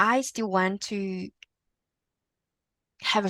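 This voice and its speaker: In a very clean recording with a silent background and a dry, close sound with no echo, a woman with a Vietnamese accent speaks very slowly, her tone bright and sharp and her intonation fairly even. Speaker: podcast guest. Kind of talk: interview conversation. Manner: halting, repetitive starts.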